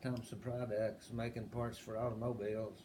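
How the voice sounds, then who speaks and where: Someone with an Appalachian accent talks at a moderate pace amid audible room echo. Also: man. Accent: Appalachian Southern American. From US South, southwest Virginia (Appalachia). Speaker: interviewee in family oral history. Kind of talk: oral history interview.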